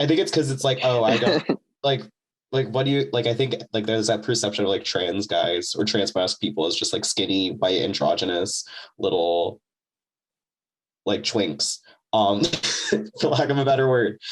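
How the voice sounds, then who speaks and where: A man speaks at a moderate pace with lively intonation. He leaves long, frequent pauses. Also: very even loudness. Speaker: student artist and performer. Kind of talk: casual chat.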